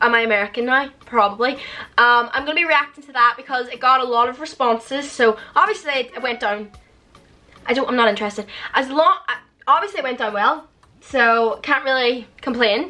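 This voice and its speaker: A woman's high voice at a fairly quick pace, with faint music in the background. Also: ordinary pitch variation. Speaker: social media creator. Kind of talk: casual vlog chat. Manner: fast; loud. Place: home room. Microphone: phone near.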